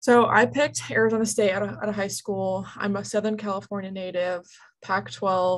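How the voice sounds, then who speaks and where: Over a quiet background, a woman talks at a moderate pace with a medium pitch. She has a plain, everyday voice with ordinary pitch variation. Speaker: softball player and coach. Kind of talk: interview.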